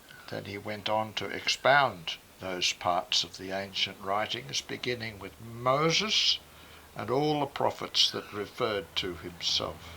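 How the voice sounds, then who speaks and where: A man with an Australian accent, a fairly low pitch, ordinary pitch variation, a bright, sharp tone, and a fairly slow pace. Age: 80s+. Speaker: retired minister and author. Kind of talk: reading aloud.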